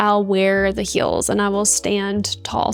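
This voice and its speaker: Music plays in the background. A woman speaks over it. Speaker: YouTuber. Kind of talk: reaction video commentary. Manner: casual, uses many fillers.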